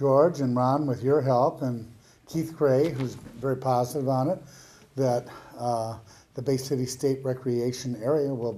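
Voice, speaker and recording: Speaking with an Upper Midwest accent, a man keeps a medium pitch. His pace is fairly slow and his intonation fairly even. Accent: Upper Midwest American. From Michigan, Bay County. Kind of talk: public ceremony speech.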